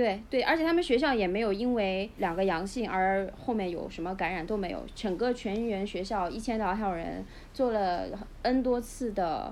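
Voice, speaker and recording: A woman at medium pitch and moderate pace, ordinary pitch variation, audible room echo around her voice. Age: 40s. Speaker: youth baseball club manager. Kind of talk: casual chat.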